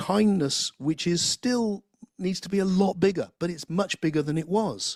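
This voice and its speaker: A high-pitched man at a moderate pace, with an English accent. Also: ordinary pitch variation, dry, close sound with no echo. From England. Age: 60s. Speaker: philosopher and spiritual teacher. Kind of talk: interview conversation. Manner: halting, many repeated words.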